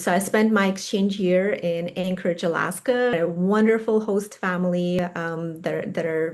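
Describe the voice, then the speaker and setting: The woman's voice is fairly low in pitch, with fairly even intonation, and noticeable background noise sits behind it. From Russia. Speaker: attorney. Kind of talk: interview.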